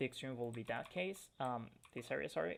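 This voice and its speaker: Speech comes at a fairly quick pace. It carries a non-native accent. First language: not English. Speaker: forex trading educator. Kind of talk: tutorial. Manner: hesitant, with frequent fillers.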